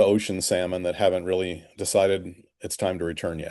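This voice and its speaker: Against a quiet background, a man talks at a moderate pace. He has a plain, everyday voice with fairly even intonation. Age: 60s. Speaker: fishing charter captain. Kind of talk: podcast interview.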